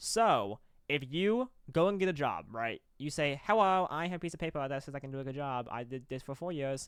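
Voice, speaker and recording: In a very clean recording with a silent background, a man with a fairly high pitch talks at a fairly quick pace in an animated tone with lively intonation. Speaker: college esports caster and show co-host. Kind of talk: casual debate chat. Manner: fast.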